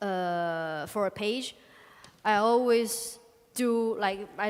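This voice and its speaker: A woman speaks very slowly at a medium pitch. Her intonation stays fairly even. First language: Chinese (speaking Spanish). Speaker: comic artist. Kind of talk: public talk Q&A. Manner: halting.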